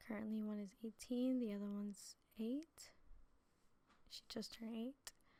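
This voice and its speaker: Somewhat breathy and dark, mellow in tone, a woman's fairly high pitch moves in fairly even intonation at a moderate pace with long, frequent pauses. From New Jersey. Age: 20s. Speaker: preacher. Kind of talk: testimony. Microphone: too quiet in original upload.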